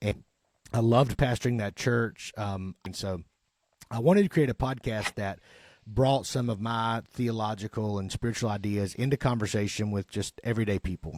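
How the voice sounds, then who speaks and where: A man's medium-pitched voice with a Southern accent, at a moderate pace and with ordinary pitch variation, dry and close with no echo on a very clean recording with a silent background. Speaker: podcast host and chaplain. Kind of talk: casual chat.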